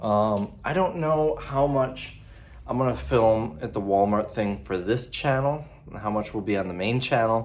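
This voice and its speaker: At a moderate pace, a quiet voice with lively intonation carries audible room echo. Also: man, medium pitch for a man. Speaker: vlogger. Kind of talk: casual vlog talk. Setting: hotel room. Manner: quieter, held back.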